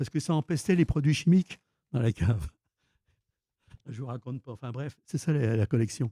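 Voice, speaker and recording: Speaking at medium pitch with a dark, mellow, somewhat breathy tone, a man uses lively intonation and long, frequent pauses, in a dry, close sound with no echo. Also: moderate pace, big swings in loudness. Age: 70s. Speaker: film collector. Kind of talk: interview. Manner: halting, many repetitions.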